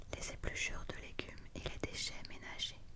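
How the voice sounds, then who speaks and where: A woman whispers at a fairly slow pace. Her tone is calm. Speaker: ASMR content creator. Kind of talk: whispered book reading (ASMR). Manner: whispered, soft, calm.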